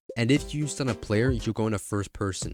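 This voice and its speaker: Music plays in the background. A man speaks at a fairly low pitch with ordinary variation. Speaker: gaming video creator. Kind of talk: casual video game commentary narration.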